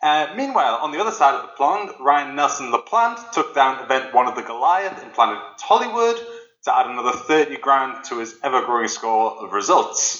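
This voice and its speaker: A man with a Geordie accent, big swings in loudness and noticeable background noise. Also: moderate pace. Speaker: news presenter and poker player. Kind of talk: news reading.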